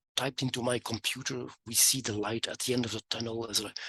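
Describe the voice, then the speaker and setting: A man with a Dutch accent speaks at a medium pitch in a monotone, flat intonation. His tone is bright and sharp, and the sound is dry and close with no echo. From Flanders, Belgium. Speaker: economist and entrepreneur. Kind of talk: interview. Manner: halting, many fillers.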